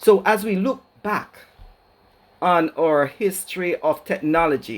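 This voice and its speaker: The speaker has a Jamaican accent and ordinary pitch variation. The recording is very clean, with a silent background. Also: man. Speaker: educator, keynote speaker. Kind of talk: keynote lecture.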